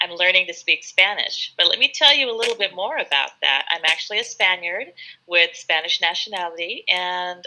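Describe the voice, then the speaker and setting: With a Californian accent, a woman speaks at medium pitch in a bright, sharp tone. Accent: California American. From California, US (Sacramento). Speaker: English tutor. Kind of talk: live online English lesson chat. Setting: live video stream.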